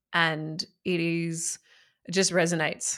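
A woman with an Australian accent speaks in a very deep, low voice with vocal fry and a flat monotone. The recording is very clean, with a silent background. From Australia, country Victoria (Echuca). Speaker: mindset coach. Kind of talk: interview.

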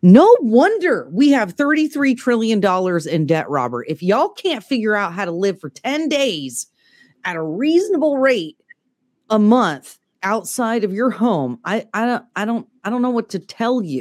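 In a very clean recording with a silent background, a woman speaks fairly slowly at a fairly high pitch with very wide pitch swings. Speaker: podcast co-host. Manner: animated, fired up.

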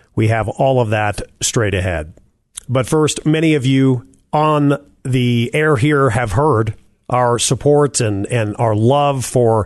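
This man has a plain, everyday voice, pitched in the middle range, with ordinary pitch variation. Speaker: radio host. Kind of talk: interview.

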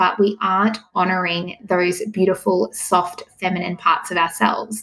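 With an Australian accent, a woman speaks at medium pitch and a moderate pace with ordinary pitch variation. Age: 30s. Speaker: pregnancy coach. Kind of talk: interview. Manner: calm, soothing.

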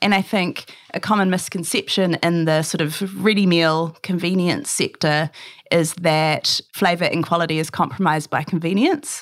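In a New Zealand accent, a woman speaks at a moderate pace with a fairly low pitch and ordinary pitch variation. Her loudness stays very even, and the recording is very clean with a silent background. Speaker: food business founder. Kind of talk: interview.

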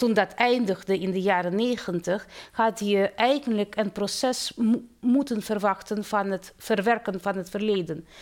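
In a slight Russian accent, a woman speaks at a fairly slow pace with medium pitch and ordinary pitch variation. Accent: slight Russian accent in Dutch. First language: Russian (speaking Dutch). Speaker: theology professor. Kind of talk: interview. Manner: halting.

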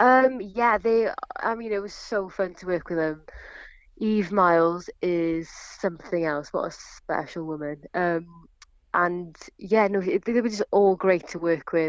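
Speaking in a Welsh accent, a woman talks at a fairly slow pace. Her pitch is medium, with ordinary pitch variation. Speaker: actress. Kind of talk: interview.

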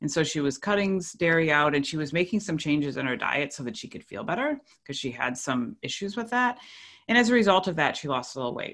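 This woman's voice is very deep and low, with very wide pitch swings. She talks at a very fast pace on a very clean recording with a silent background. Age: 50s. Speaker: retired nurse and podcaster. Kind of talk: interview testimony.

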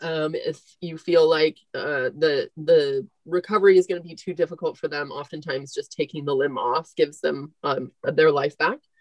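Speaking in an American accent at a moderate pace, a woman with a very deep, low pitch keeps her intonation fairly even while her loudness swings widely. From Northern California, Marin County. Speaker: veterinarian, practice owner. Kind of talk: casual interview chat.

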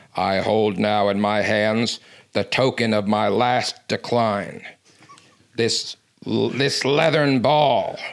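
A put-on character voice, raspy in sound. It moves at a very slow pace. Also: man, medium pitch for a man. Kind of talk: formal, archaic. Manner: grand, theatrical, solemn.

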